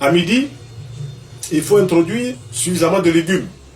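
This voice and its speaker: Music plays behind a man speaking at a high pitch. His pitch varies in an ordinary way. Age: 60s. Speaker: traditional health practitioner. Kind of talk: interview answer on health advice.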